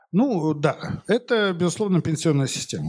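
A man at a moderate pace with lively intonation. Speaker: economics professor. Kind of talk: lecture. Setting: stage with audience. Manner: informal, many filler words.

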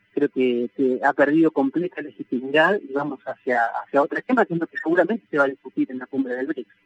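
A man with a normal speaking voice talks at a fairly quick pace in a fairly high pitch, with ordinary pitch variation and a dry, close sound with no echo. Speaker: sociologist and professor. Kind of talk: radio interview.

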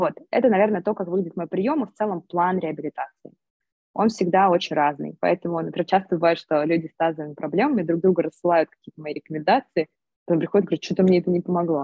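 Fairly low in pitch with ordinary pitch variation, a woman talks at a very fast pace with big swings in loudness. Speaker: pelvic physical therapist and entrepreneur. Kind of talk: interview. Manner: animated.

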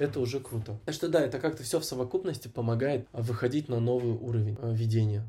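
A man's somewhat breathy voice with a dark, mellow tone, medium pitch, ordinary pitch variation and a very fast pace. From Kazakhstan, Almaty. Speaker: actor and event host. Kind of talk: casual interview.

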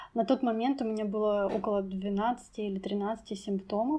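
This speech comes at a fairly slow pace, with ordinary pitch variation. Its tone is dark and mellow. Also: woman. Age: 20s. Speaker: English teacher sharing depression story. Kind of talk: personal testimony.

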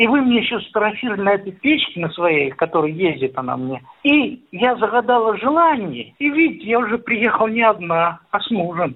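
A man with a high pitch talks in very wide pitch swings. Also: moderate pace, hardly any pauses. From Voronezh region, Russia. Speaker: farmer and village museum founder. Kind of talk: interview.

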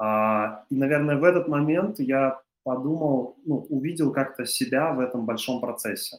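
A man's fairly high-pitched voice, moderate in pace, with ordinary pitch variation. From Russia, Chuvashia (Cheboksary). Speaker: creative industries entrepreneur. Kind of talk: interview. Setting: studio. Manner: halting, many fillers.

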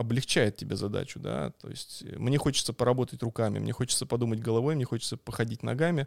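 A man at a medium pitch, very fast and with hardly any pauses, ordinary pitch variation, in a dry, close sound with no echo. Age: 30s. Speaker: street photographer. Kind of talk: casual chat. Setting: live stream recorded at the host's home.

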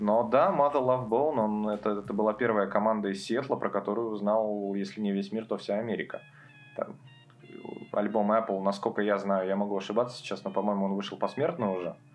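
Noticeable background noise sits behind a man speaking at a fairly quick pace. His pitch is fairly low and his intonation fairly even. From Russia, Karelia (Petrozavodsk). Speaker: music expert. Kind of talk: casual chat.

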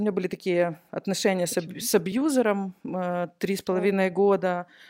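Recorded very cleanly against a silent background, a woman talks at a medium pitch in a dark, mellow tone. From Ukraine, Nikopol. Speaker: event organizer. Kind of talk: casual interview chat.

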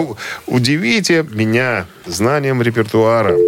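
A man talks at a medium pitch. Noticeable background noise runs throughout. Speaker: radio host. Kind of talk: casual chat. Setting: studio.

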